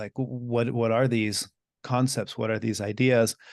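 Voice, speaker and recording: At a fairly quick pace, a man with an unremarkable speaking voice and an American accent talks at medium pitch with fairly even intonation against a quiet background. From US and Mexico (bilingual, teens in Mexico). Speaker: Buddhist teacher and podcaster. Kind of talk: interview conversation.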